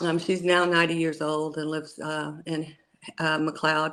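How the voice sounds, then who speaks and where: A woman speaks with an American accent. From Oklahoma, US (rural, McLoud). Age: 60s. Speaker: cannabis grower and former teacher. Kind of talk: interview. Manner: hesitant, many fillers.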